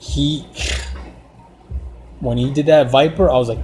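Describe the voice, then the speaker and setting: A man with a non-native accent speaks at a very slow pace and medium pitch, with ordinary pitch variation and music in the background. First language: not English. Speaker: artist and car design vlogger. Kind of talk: casual monologue while drawing. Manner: halting, many restarts and fillers.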